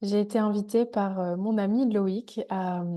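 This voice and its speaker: A woman's dark, mellow tone sits at a medium pitch in a monotone, flat intonation. The background is quiet. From Île-de-France. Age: 20s. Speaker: energy therapist. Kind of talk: testimony. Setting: video call.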